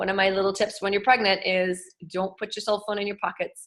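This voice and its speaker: Medium-pitched female voice, bright and sharp in tone. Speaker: wellness educator. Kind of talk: online presentation. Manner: fast.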